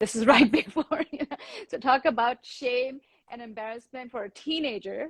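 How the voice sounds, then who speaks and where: Speaking in a high voice with an Indian accent, a woman keeps a moderate pace, and the sound is dry and close with no echo. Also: ordinary pitch variation, big swings in loudness. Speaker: yoga teacher. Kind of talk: casual chat.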